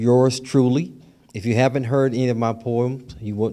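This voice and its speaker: The man's voice has a dark, mellow tone. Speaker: professor, festival organizer and emcee; professor, emcee. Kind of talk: welcome speech, announcements. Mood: warm, joking. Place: hall. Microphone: podium.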